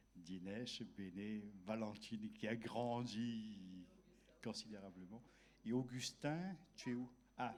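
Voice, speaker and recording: In a room with audible echo, a man speaks at a medium pitch with ordinary pitch variation. He goes at a very slow pace with long, frequent pauses. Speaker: pastor. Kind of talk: church welcome and prayer. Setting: church service.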